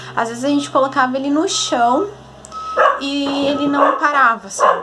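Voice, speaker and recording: A woman speaks at a moderate pace. Noticeable background noise and audible room echo run through the recording. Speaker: vlogger, mother. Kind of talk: casual vlog. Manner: soft-spoken.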